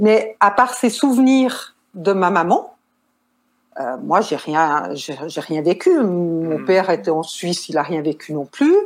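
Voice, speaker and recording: Speaking at a very slow pace, a woman lets her pitch swing very widely. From Switzerland. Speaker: nurse and caregiver. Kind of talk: interview.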